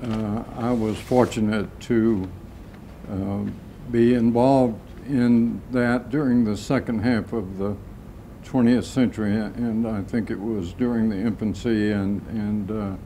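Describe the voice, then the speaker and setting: In a room with audible echo, a man with an American accent speaks at medium pitch and a fairly slow pace, his intonation monotone and flat. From US South, Atlanta, Georgia. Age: 80s+. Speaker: retired vascular surgeon. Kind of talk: oral history interview. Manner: halting, many fillers.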